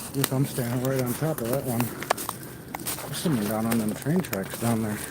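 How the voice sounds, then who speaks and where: Noticeable noise sits behind this speech, which keeps a moderate tempo and a normal amount of pitch movement. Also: man. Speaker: outdoor vlogger. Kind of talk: casual vlog narration while hiking. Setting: outdoors. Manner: loud.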